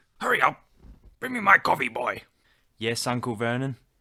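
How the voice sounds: The words are read out in a natural reading voice.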